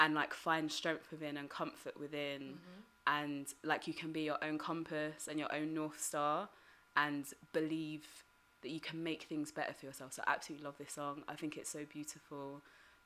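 A woman with a British accent speaks at a moderate pace in a very deep, low voice with a bright, sharp tone. Her intonation is monotone and flat, with big swings in loudness. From Britain. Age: 30s. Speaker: poet and HIV activist. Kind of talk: casual chat.

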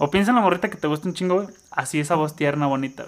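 A man with a fairly high pitch and ordinary pitch variation speaks at a very fast pace. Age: 20s. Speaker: podcast co-host. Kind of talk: casual chat.

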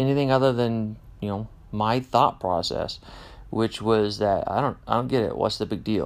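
On a very clean recording with a silent background, a man with a Midwestern US accent talks at a fairly slow pace. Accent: General American, Midwestern. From Kansas, US Midwest. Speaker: podcast host. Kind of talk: casual monologue. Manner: unscripted with many fillers.

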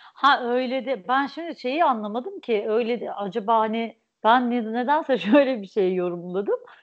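Fairly slow delivery comes with ordinary pitch variation. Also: woman. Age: 30s. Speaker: podcast host. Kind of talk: casual chat.

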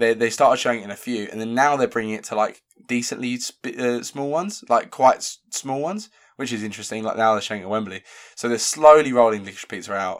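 A man with a British accent at a medium pitch, very fast, with big swings in loudness, on a very clean recording with a silent background. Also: ordinary pitch variation. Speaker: film review podcast host. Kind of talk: casual chat. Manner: quieter than usual.

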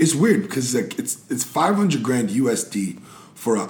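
With lively intonation and a fairly slow pace, a man speaks amid audible room echo. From Montreal, Quebec. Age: 30s. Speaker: comedian and actor. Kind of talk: casual chat.

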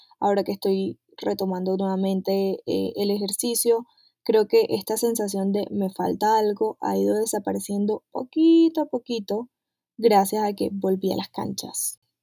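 Music plays in the background as a woman talks at a fairly slow pace. The sound is dry and close, with no echo. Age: 20s. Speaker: podcast host. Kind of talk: personal reflection monologue.

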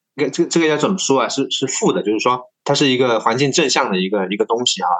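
This man talks at a very fast pace with lively intonation. His pitch sits in the medium range. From Tongxiang, Zhejiang, China. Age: 30s. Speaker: silkworm farmer and podcast host. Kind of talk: interview. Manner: halting, many fillers.

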